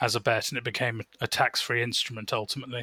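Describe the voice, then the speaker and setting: At a fairly quick pace, a man speaks with a bright, sharp tone, a medium pitch and monotone, flat intonation, in a very clean recording with a silent background and a dry, close sound with no echo. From England. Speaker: betting industry professional. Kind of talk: casual interview.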